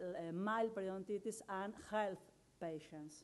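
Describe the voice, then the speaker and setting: With an Argentine accent, a woman speaks in fairly even intonation. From Argentina. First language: Spanish. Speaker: dentist and microbiology researcher. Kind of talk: conference talk. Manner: halting, with frequent fillers. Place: hall. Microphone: podium.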